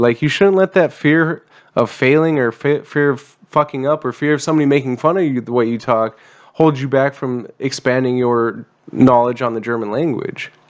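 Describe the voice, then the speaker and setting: At a moderate pace, a man uses an unremarkable speaking voice with an American accent, a medium pitch and ordinary pitch variation. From USA. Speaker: veteran podcast host. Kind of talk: casual chat.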